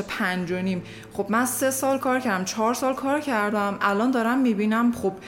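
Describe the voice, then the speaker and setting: A woman with a fairly high pitch speaks at an even, middling pace, her intonation varying in a usual way, while noticeable noise sits in the background. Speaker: podcast guest. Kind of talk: casual chat.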